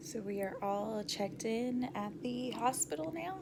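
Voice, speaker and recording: A woman's medium-pitched voice with lively intonation, amid noticeable background noise and audible room echo. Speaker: vlogger. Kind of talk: casual vlog. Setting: hospital room.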